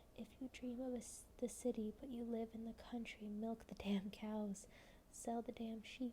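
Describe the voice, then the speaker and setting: Soft-spoken and monotone, a woman with a fairly high pitch talks at a fairly slow pace in flat intonation over noticeable background noise. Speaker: ASMR creator and poetry reader. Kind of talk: poem reading, slow and measured. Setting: home, candlelit, with tea. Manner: soft-spoken, cozy.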